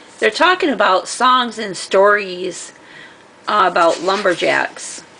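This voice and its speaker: Noticeable background noise runs under a woman who talks very slowly. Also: medium pitch for a woman, ordinary pitch variation. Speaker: craft and book-haul vlogger. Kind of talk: casual show-and-tell vlog. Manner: loud; casual, hesitant with fillers.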